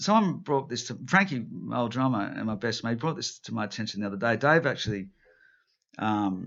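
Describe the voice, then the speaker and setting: With an Australian accent, a man speaks at medium pitch and a fairly quick pace, his tone animated and his intonation lively. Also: quiet background. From Newcastle, New South Wales, Australia. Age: 50s. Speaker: rock guitarist and songwriter. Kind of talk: casual interview chat. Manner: animated, with many restarts and fillers.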